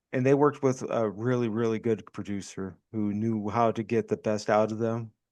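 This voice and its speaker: Against a quiet background, a man with a plain, everyday voice talks at a moderate pace. His pitch is medium and his intonation fairly even. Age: 50s. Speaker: podcast co-host. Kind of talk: casual chat.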